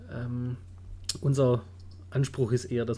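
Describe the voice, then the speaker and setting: Fairly even intonation from a man, somewhat breathy, with a dark, mellow tone. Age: 30s. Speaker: wedding photographer, podcast co-host. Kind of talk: casual chat.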